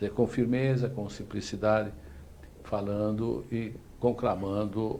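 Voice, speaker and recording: Audible room echo surrounds a man's dark, mellow tone, delivered at a fairly slow pace and fairly low pitch with fairly even intonation. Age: 60s. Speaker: talk show host. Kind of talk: interview; show sign-off. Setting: online live show.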